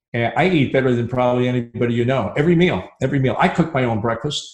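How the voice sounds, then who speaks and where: Somewhat breathy, a man with a medium-pitched voice talks at a fairly quick pace. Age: 70s. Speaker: dental consultant and speaker. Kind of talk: live interview.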